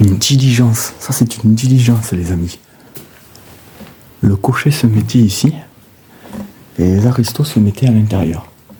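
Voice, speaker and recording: Over noticeable background noise, a man speaks at a moderate pace and medium pitch, with ordinary pitch variation and long, frequent pauses. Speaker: urbex explorer, video creator. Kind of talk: exploration vlog narration. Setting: outdoors and in outbuildings of an abandoned estate. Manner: animated, exclamatory; soft-spoken, speaking quietly.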